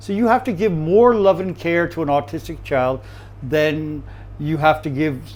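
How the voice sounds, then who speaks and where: With an American accent, a man speaks at a fairly high pitch. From USA. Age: 60s. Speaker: chef. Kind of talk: interview. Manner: halting.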